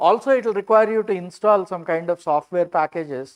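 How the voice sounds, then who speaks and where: The speaker talks at a moderate pace with an Indian accent. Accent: Indian English, Telugu. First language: Telugu. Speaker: computer science lecturer. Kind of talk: lecture. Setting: live-streamed online workshop.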